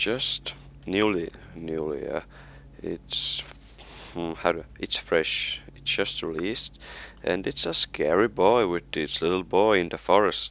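A man's very deep, low voice with an Estonian accent, at a very slow pace with long, frequent pauses and fairly even intonation. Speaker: gaming youtuber. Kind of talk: casual gameplay commentary. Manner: halting, hesitant with many fillers.

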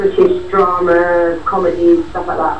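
Light background noise and audible room echo surround the speech of a woman. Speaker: actress. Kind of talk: casual interview. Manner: chatty, hesitant. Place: studio.

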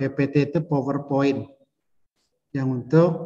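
The voice is somewhat breathy, with a dark, mellow tone. Its intonation stays monotone and flat. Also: man. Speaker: instructor. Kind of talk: lecture. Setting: video call. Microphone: video call.

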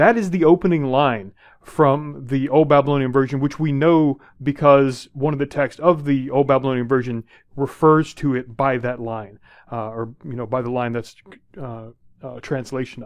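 Against a quiet background, a man speaks at a moderate pace with ordinary pitch variation and big swings in loudness. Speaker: university instructor. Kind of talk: lecture. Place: home room. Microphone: headset.

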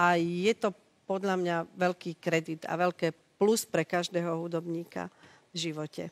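A woman at a fairly slow pace, monotone and flat, in a dry, close sound with no echo. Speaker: TV talk show host. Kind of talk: TV talk show interview. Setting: TV studio with audience.

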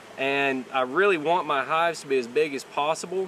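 A man speaks at a fairly slow pace. The sound is dry with no echo, and there is light background noise. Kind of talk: tutorial. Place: farm.

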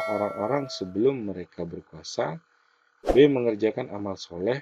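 Lively intonation marks this man's fairly low voice. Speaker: education YouTuber going through exam practice questions. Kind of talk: tutorial. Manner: hesitant, many fillers.

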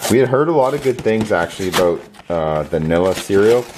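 Light background noise runs under the recording. A man speaks with a fairly low pitch. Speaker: vlogger. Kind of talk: casual vlog chat. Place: kitchen. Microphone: phone near.

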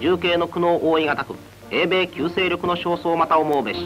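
Clear music plays behind a man with a high pitch. He speaks at a fairly quick pace in a solemn tone. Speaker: newsreel narrator. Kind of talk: 1940s wartime newsreel narration. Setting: old archival film recording. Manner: stentorian, formal, solemn. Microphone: old recording.

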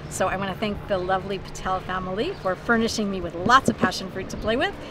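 A woman talking at a very fast pace, dry with no echo, over noticeable background noise. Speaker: cooking show host. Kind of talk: tutorial. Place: beach.

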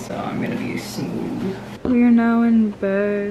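A woman talks over noticeable background noise. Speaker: vlogger. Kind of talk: casual vlog chat. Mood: relaxed, sleepy, chatty. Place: home room. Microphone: phone near.

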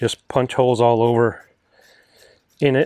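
A man speaks at a moderate pace. The background is quiet and the sound is dry with no echo. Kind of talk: tutorial. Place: garden.

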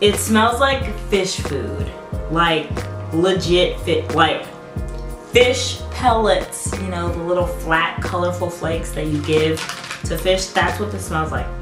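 A woman delivers her words at a very slow pace while clear music plays behind her. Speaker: snack reviewer. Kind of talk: casual vlog chat. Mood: relaxed, amused. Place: home room.

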